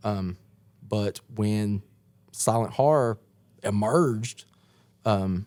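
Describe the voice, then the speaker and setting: In a strong East Tennessee accent, a fairly low-pitched man talks at a very slow pace with long, frequent pauses and ordinary pitch variation. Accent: strong East Tennessee twang. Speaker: horror punk musician. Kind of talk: casual chat. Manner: animated.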